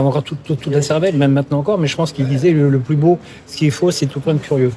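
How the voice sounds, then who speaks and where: With fairly even intonation, a man talks at a very fast pace in a fairly high pitch. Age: 60s. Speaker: career counselor. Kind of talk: interview. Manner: halting, many fillers and repetitions.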